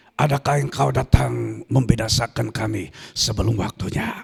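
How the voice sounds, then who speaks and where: Using a raspy, put-on character voice, a man speaks at a fairly low pitch and a moderate pace. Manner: menacing, fearful recognition.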